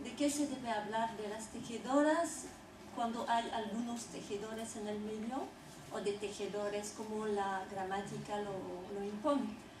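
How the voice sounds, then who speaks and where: At a fairly slow pace, the speech comes with audible room echo and noticeable background noise. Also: woman, fairly high pitch for a woman, ordinary pitch variation. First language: French (speaking Spanish). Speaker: textile historian and anthropologist. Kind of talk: lecture. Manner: hesitant.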